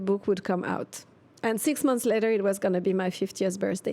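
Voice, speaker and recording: With a French accent, a woman talks at a moderate pace in a dark, mellow tone with ordinary pitch variation. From Switzerland. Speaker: expat coach and author. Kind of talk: interview. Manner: hesitant.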